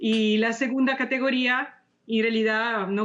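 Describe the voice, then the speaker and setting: A woman speaks in a fairly high pitch with an Italian accent. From Italy. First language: Italian (speaking Spanish). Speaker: architect and author. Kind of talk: interview. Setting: video call. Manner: halting, many fillers.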